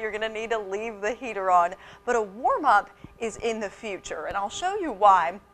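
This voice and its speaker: A woman with a plain, everyday voice and lively intonation at a moderate pace. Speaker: TV weather anchor. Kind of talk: TV weather forecast.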